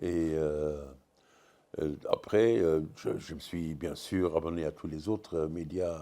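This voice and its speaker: A man speaks with a very deep, low pitch, a dark, mellow tone and fairly even intonation. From Luxembourg. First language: Luxembourgish (speaking French). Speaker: comics writer. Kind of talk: panel discussion. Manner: halting, many hesitations.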